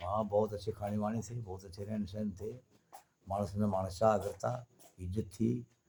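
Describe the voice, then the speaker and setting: Somewhat breathy and dark, mellow in tone, this man's fairly low voice keeps a fairly even intonation. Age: 70s. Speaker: retired folk theatre performer. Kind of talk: interview.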